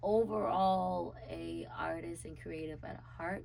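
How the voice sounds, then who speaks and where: Audible room echo fills this recording. A woman with an American accent speaks at a very slow pace. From South Carolina, Charleston. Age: 20s. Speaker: city council candidate and dancer. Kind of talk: interview. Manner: animated.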